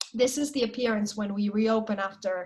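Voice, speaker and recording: The woman's voice sits at a fairly high pitch and is somewhat breathy. Her intonation is fairly even. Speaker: periodontal surgeon presenting cases. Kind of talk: online case presentation. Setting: video call.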